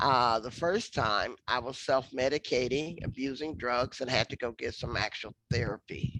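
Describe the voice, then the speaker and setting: A woman's very deep, low-pitched voice at a moderate pace, with ordinary pitch variation, hardly any pauses and a dry, close sound with no echo. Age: 60s. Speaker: activist and scholar. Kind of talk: interview conversation. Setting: virtual lecture.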